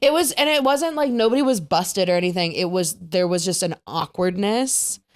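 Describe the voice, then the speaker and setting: A woman's medium-pitched voice with a slight Wisconsin accent, very wide pitch swings and a fairly quick pace. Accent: Wisconsin, slight, comes out on some words. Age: 30s. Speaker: podcast host. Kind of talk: casual chat.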